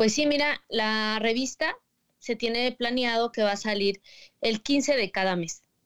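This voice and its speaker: An ordinary speaking voice from a woman, fairly high in pitch, with very even loudness, ordinary pitch variation, a dry, close sound with no echo, and a very clean recording with a silent background. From State of Mexico. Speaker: magazine editor. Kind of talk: casual chat.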